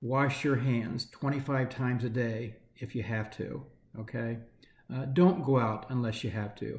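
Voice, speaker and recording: Somewhat breathy, the voice goes at a fairly slow pace with fairly even intonation. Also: man, medium pitch for a man. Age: 60s. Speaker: nonprofit chief executive. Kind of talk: candid video address to staff. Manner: hesitant, many fillers.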